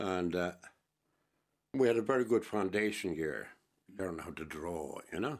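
This man's voice is very deep and low, with lively intonation at a moderate pace. He pauses long and often, and the recording is very clean over a silent background. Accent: Waterford. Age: 70s. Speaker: painter. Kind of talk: radio interview. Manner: robust, forceful talker.

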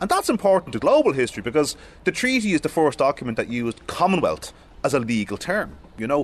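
A man with an Irish accent talks at a very fast pace, his fairly high pitch swinging very widely. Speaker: historian. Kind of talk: guided exhibition tour.

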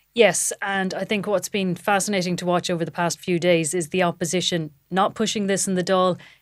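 A woman with an Irish accent, medium pitch and monotone, flat intonation, at a fairly quick pace with hardly any pauses. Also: quiet background. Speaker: political reporter. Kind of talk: casual political chat. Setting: studio in parliament building.

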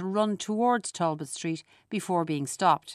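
Against a quiet background, the speaker uses a Dublin accent with ordinary pitch variation. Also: woman. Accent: Irish (Dublin). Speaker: essayist. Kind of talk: scripted narration.

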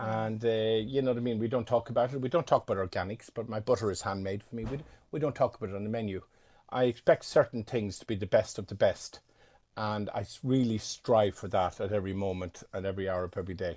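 A man with an Irish accent, medium pitch, ordinary pitch variation and big swings in loudness at a very fast pace, over a quiet background. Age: 50s. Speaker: chef and restaurateur. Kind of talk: interview. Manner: halting.

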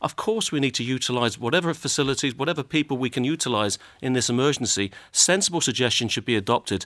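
In a Limerick accent, a man with a medium pitch talks at a very fast pace with lively intonation and very even loudness, on a very clean recording with a silent background and a dry, close sound with no echo. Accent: Irish, Limerick. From Ireland, Limerick. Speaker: politician. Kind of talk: panel debate.

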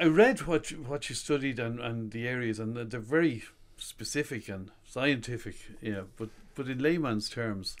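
A man with an Irish accent, medium pitch, ordinary pitch variation and a moderate pace. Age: 50s. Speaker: radio host. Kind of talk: interview. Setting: radio studio.

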